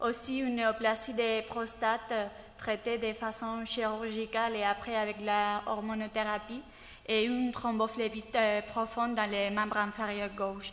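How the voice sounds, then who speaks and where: In a non-native accent, a woman speaks at a fairly slow pace and fairly high pitch, her intonation monotone and flat and her loudness very even. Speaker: cardiology fellow. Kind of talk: clinical case presentation. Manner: halting, many hesitations.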